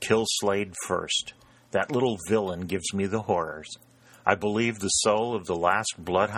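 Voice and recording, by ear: Someone reads a passage aloud. They do so in a natural voice.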